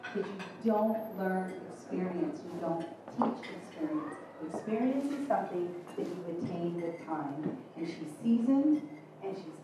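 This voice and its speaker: A woman talks at a moderate pace against noticeable background noise, with strong echo filling the room. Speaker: event host introducing a speaker. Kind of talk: speech introduction. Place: hall.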